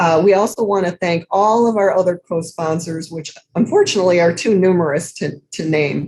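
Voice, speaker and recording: A normal speaking voice moves at a moderate pace with fairly even intonation and hardly any pauses. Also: woman, fairly low pitch for a woman. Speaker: program moderator. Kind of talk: event introduction.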